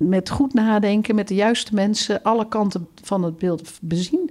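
At a moderate pace and medium pitch, a woman speaks with lively intonation in an unremarkable speaking voice. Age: 50s. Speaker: campus circularity director. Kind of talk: interview.

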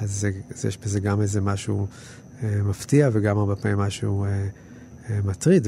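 A man's fairly low-pitched voice at a moderate pace, with noticeable background noise. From Israel, kibbutz. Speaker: documentary film director. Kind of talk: interview commentary. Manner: halting, many repetitions and fillers.

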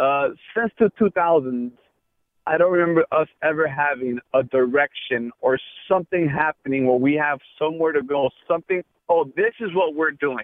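A man's unremarkable speaking voice, fairly high in pitch with ordinary pitch variation, at a moderate pace. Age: 30s. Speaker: sports radio caller. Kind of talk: call-in talk radio.

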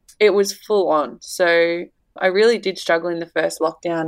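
Moderate pace in an Australian accent, with ordinary pitch variation. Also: woman. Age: 20s. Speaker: mother and social media personality. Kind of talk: casual interview chat.

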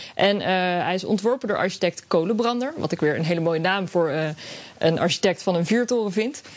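A woman with a plain, everyday voice talks at a fairly quick pace. Her intonation is lively. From Netherlands, Scheveningen (The Hague). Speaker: radio editor. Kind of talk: radio segment chat. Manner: casual, with fillers.

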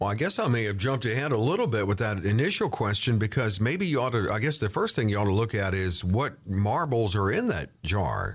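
Somewhat breathy and fairly low-pitched, a man speaks at a fairly quick pace with hardly any pauses, ordinary pitch variation and very even loudness on a very clean recording with a silent background. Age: 50s. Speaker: podcast co-host. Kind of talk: casual chat.

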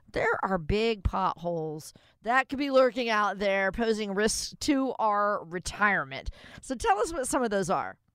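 Fairly high-pitched, a woman with a plain, everyday voice speaks at a fairly slow pace and with lively intonation on a very clean recording with a silent background. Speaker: radio co-host. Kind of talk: radio show. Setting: studio. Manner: upbeat.

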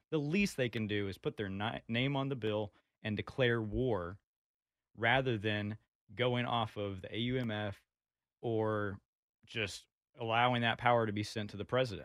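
Long, frequent pauses break up speech delivered at a moderate pace with ordinary pitch variation. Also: man, medium pitch for a man. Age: 20s. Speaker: political activist. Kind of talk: casual chat.

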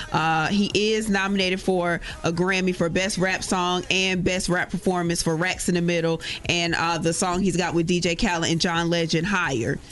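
A moderate pace with noticeable background noise. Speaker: radio host. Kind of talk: morning radio show banter. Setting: radio studio. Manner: teasing, playful.

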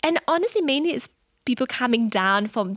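A woman with a German accent, lively intonation and a fairly quick pace. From southern Germany, near French border. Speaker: business founder. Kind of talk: interview. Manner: hesitant, many fillers.

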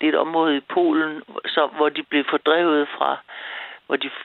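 A woman speaks at a fairly slow pace. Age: 70s. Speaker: caller. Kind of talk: phone-in call.

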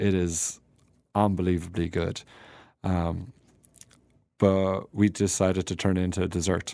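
On a very clean recording with a silent background, a man with an Irish accent speaks in a very deep, low pitch with a dark, mellow tone and monotone, flat intonation, at a fairly quick pace broken by long, frequent pauses. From Ireland, County Tipperary. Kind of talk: casual interview. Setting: studio.

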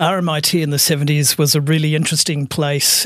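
A man with an Australian accent, a fairly high pitch and a fairly slow pace, in a dry, close sound with no echo. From Australia, Melbourne (Brighton, Sandringham). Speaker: architect. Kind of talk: interview.

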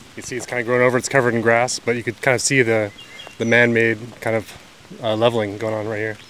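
Against noticeable background noise, a man speaks very fast at a medium pitch in a flat monotone. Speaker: mountain biker and trail volunteer. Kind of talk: casual guided tour. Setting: outdoors, walking in forest.

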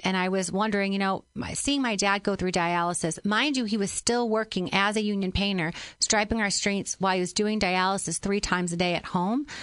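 In a normal speaking voice, a woman with an American accent talks at a medium pitch and a fairly quick pace, with ordinary pitch variation and a quiet background. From Illinois, Granite City (Metro East). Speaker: politician, candidate. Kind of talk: radio interview. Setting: studio.

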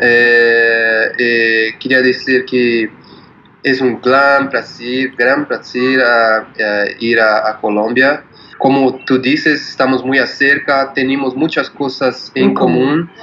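A man with a Portuguese accent talks at a very slow pace, his intonation fairly even and his loudness very even. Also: medium pitch for a man. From Brazil, São Paulo. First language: Portuguese (speaking Spanish). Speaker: musician. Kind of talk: interview. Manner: halting.

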